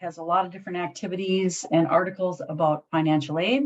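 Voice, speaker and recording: This is an ordinary speaking voice moving at a fairly quick pace. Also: woman. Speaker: career resource supervisor. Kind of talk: webinar presentation.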